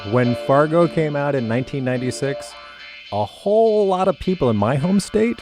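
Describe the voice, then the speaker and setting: Music plays in the background behind a man. His pitch swings very widely. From North Dakota. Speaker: podcast host. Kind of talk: podcast narration.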